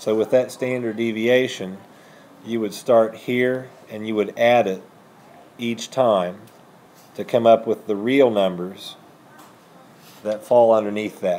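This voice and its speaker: Pausing long and often, a man speaks at a fairly slow pace in a dark, mellow tone with fairly even intonation. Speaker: high school math teacher. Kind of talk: lecture. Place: classroom.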